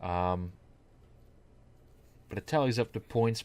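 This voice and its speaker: A man speaks at a fairly slow pace. The recording is very clean with a silent background. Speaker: gaming commentator. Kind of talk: gameplay commentary. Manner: monotone.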